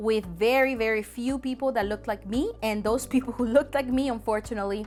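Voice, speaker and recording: With music playing behind her, a woman speaks in a Spanish accent with ordinary pitch variation. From El Salvador. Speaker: documentary filmmaker. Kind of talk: testimony. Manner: hesitant, with many fillers.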